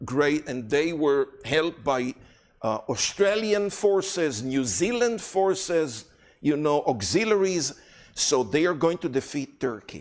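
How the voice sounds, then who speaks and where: A fairly high-pitched man with an Israeli accent, speaking fairly slowly with very wide pitch swings. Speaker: guest speaker on Israel and prophecy. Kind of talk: lecture.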